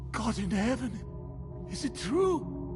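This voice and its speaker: Loud music plays in the background as a man speaks in a put-on character voice. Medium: short film. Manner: fervent, religious, volatile.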